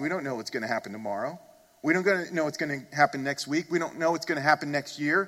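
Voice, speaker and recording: Very fast speech from a man, fairly high in pitch, its pitch rising and falling in an ordinary way. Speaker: pastor. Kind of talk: sermon. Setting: church. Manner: earnest, emphatic preaching, pressing listeners directly.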